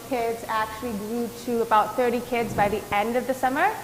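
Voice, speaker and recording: A woman with a fairly high pitch speaks at a moderate pace in a monotone, flat intonation. Room echo is audible, and there is noticeable background noise. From Antigua. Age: 20s. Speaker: doctoral student and entrepreneur. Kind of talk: panel discussion. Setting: virtual event.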